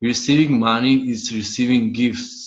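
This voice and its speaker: The pace of this man's speech is moderate. His voice sits at a medium pitch. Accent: non-native. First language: not English. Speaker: money coach. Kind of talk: online class teaching. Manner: halting, words clipped.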